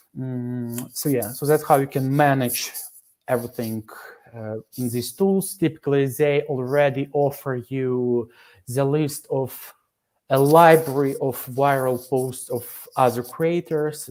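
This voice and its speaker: The pace here is very slow. A non-native accent comes through. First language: not English. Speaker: workshop presenter. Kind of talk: workshop presentation. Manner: halting, many fillers.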